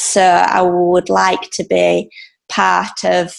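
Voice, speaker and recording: The speaker is a woman with an English accent. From England. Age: 20s. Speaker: ballet dancer. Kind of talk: interview. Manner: halting.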